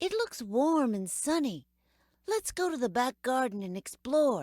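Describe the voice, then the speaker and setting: A put-on character voice swings very widely in pitch at a moderate pace. The recording is very clean, with a silent background. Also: woman, high pitch for a woman. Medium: read story.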